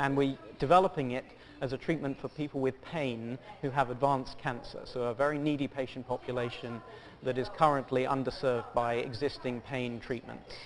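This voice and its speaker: Fairly quick in pace, a man talks at a medium pitch with fairly even intonation. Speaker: pharmaceutical company executive. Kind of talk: TV business interview. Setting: stock exchange market site.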